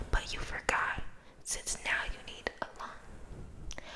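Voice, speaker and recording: Whispering by a woman amid noticeable background noise. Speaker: ASMR creator. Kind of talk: poetry reading. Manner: soft-spoken, whispered.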